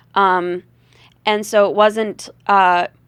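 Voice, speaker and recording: A woman speaks with a slight Southern US accent at a fairly high pitch. The sound is dry and close with no echo, and the recording is very clean against a silent background. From US South. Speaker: rock and blues singer, comedian. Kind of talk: casual interview chat. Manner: hesitant, many fillers.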